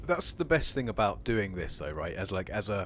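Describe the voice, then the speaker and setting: Over music in the background, a man speaks in a medium pitch with a Home Counties accent. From England, home counties. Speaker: streamer and YouTuber. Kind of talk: casual chat. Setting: live stream voice chat. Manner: smooth, relaxed delivery.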